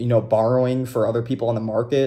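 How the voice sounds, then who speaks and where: A man's somewhat breathy voice, medium in pitch and dark and mellow in tone, at a fairly quick pace. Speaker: crypto video host. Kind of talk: unscripted monologue. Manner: casual, off the cuff; stuttering.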